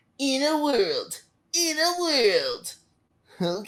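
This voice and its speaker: A put-on character voice, high-pitched, with very wide pitch swings. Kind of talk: trailer voiceover. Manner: dramatic, announcer-like.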